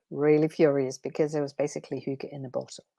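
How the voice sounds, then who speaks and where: A woman with a Danish accent speaks at a very deep, low pitch, her intonation fairly even. The sound is dry and close with no echo, on a very clean recording with a silent background. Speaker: transformation coach. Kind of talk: live stream talk. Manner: unscripted, hesitant with fillers.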